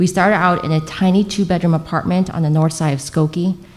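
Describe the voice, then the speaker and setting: A woman's fairly low voice in a dark, mellow tone, with a Chicago-area accent, a fairly quick pace, and ordinary pitch variation. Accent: Chicago-area American English. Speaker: local politician. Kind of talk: prepared opening statement at candidate forum. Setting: public library forum with live audience.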